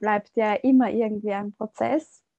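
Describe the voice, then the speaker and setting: A woman speaks with fairly even intonation. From Austria. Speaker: yoga teacher and shamanic ritual guide. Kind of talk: interview conversation.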